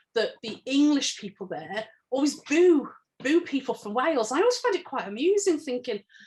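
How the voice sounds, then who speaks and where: Her voice is high-pitched with very wide pitch swings as the woman speaks at a fairly quick pace. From England. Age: 40s. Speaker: academic, book author. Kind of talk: interview conversation.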